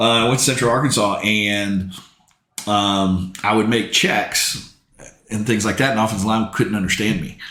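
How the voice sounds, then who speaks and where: There is audible room echo as a man talks at a moderate pace, his pitch fairly low and his intonation fairly even. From US South, New Orleans. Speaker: football commentator and former quarterback. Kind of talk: casual chat. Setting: podcast recorded at a football field.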